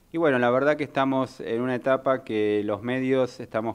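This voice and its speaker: With a Rioplatense accent, a man speaks in fairly even intonation. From Argentina. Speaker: radio host. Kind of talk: radio talk show. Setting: radio studio. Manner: halting, many fillers. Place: studio. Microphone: studio mic.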